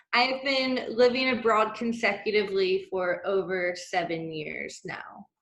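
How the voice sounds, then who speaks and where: In a normal speaking voice, a woman talks at a fairly high pitch and a fairly slow pace with ordinary pitch variation and hardly any pauses. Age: 20s. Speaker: expat guest speaker. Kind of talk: webinar chat.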